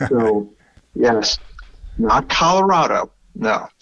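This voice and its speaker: A man with a strong Brooklyn accent. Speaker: podcast host. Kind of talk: casual chat.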